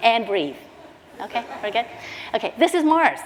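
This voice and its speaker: A woman speaks with a Canadian accent at a fairly high pitch. Noticeable background noise runs under her voice. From Canada. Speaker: social innovation leader. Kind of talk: conference talk. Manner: fast; animated.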